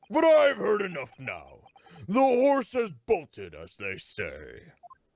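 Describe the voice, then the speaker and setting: Putting on a pompous character voice, a man speaks high and fairly slowly, his loudness swinging widely. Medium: video game.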